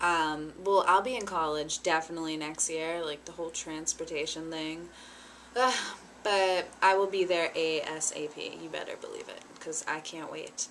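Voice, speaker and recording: The speaker moves at a moderate pace, the loudness swings a lot, and there is light background noise. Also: woman, fairly low pitch for a woman. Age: 20s. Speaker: vlogger. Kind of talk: casual vlog talk to camera; casual vlog chat. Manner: animated. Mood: cheerful, nostalgic. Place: home room. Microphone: webcam.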